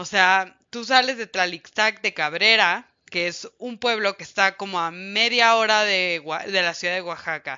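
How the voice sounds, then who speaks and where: Speaking at a fairly slow pace, a woman uses a medium pitch, an animated tone and ordinary pitch variation. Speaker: radio host. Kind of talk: radio music show. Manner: loud.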